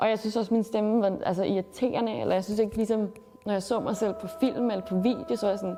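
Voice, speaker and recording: A woman talks at a very fast pace with fairly high pitch. Her intonation stays fairly even over noticeable background noise. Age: 20s. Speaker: student and activist speaker. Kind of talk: interview testimony.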